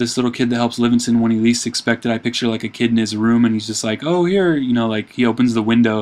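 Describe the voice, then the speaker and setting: A man's very fast, monotone, flat delivery at medium pitch. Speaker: amateur filmmaker pitching show ideas. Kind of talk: casual brainstorming monologue. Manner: hesitant, many fillers.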